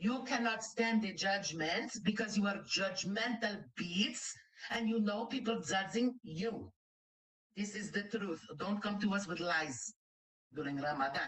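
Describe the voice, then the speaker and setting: The speaker has a Greek accent and ordinary pitch variation. The pace is fairly slow. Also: woman, medium pitch for a woman. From Greece. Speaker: reaction commentator on live stream. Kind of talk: heated live commentary. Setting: live stream. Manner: animated.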